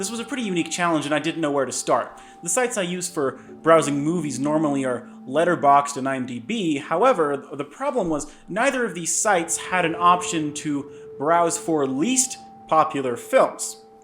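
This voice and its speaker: A man's fairly high voice at a moderate pace, with very wide pitch swings and music in the background. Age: 20s. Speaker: video essayist. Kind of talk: reading aloud from notes.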